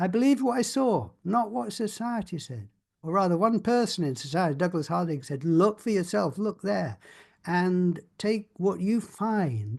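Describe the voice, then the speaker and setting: At a fairly slow pace over a quiet background, the voice moves through very wide pitch swings. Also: man. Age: 70s. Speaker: spiritual workshop leader. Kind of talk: experiential talk to a group. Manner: halting.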